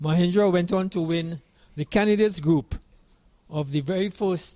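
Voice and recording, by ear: A man speaks at a fairly high pitch with a dark, mellow tone.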